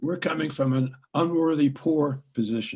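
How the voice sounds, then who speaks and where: At a moderate pace, a man with a fairly high pitch and a somewhat breathy voice speaks with ordinary pitch variation. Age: 80s+. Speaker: psychologist, scholar. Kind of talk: interview. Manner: animated, with hesitations.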